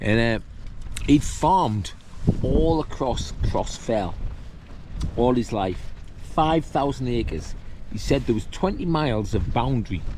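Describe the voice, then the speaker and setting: Amid noticeable background noise and audible room echo, a man with a northern English accent speaks at a fairly slow pace and medium pitch, with lively intonation and long, frequent pauses. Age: 60s. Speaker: hiking vlogger. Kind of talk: casual vlog monologue. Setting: outdoors on a windy summit. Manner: casual, rambling with fillers.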